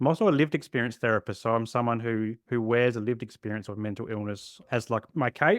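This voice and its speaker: With an Australian accent, a man talks at a very fast pace with hardly any pauses, using medium pitch and ordinary pitch variation in a dry, close sound with no echo. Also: quiet background. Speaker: therapist. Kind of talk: podcast interview.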